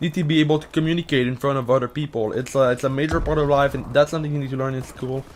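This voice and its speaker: A man with fairly high pitch talks at a very fast pace against noticeable background noise. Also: fairly even intonation, hardly any pauses. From Quebec. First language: French. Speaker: gaming YouTuber answering Reddit questions. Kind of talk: casual monologue to camera. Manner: halting, many fillers and restarts.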